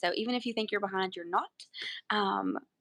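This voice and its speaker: Against a quiet background, a woman with an American accent speaks at a very fast pace. Her medium-pitched voice has a bright, sharp tone. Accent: Southern US accent, thicker when home. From Alabama. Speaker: podcast co-host. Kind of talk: casual live video podcast chat. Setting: live stream from grandparents' house. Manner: animated.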